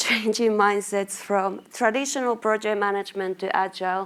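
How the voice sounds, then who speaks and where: In a Finnish accent, a woman talks at a moderate pace with monotone, flat intonation. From Finland, small town in Lapland. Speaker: marketing manager, conference speaker. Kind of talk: conference presentation. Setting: stage with audience.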